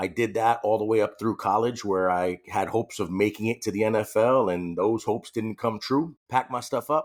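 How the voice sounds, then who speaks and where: A man with a New York accent, fairly low in pitch with ordinary pitch variation, at a fairly quick pace with hardly any pauses, on a very clean recording with a silent background. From New York City, later California. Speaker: police officer. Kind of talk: personal story in interview. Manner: a little loud.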